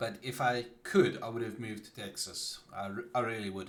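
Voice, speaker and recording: A man speaks at a moderate pace with a South African accent. His voice sits at a medium pitch and is somewhat breathy. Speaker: gaming streamer. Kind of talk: casual live-stream chat. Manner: halting, with many fillers and restarts.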